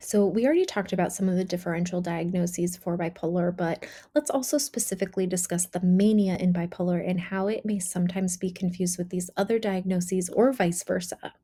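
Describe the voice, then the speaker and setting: A woman's medium-pitched, dark, mellow, somewhat breathy voice at a very fast pace with hardly any pauses and fairly even intonation, on a very clean recording with a silent background. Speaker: clinician teaching mental health diagnosis. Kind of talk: lecture. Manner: rapid delivery, faster than usual.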